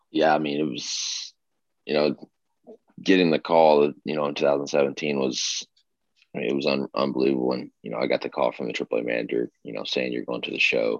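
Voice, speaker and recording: A man speaks with a very deep, low pitch and vocal fry. His intonation is fairly even, and the sound is dry and close with no echo. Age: 20s. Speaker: professional baseball player. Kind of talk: interview. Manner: halting, many fillers.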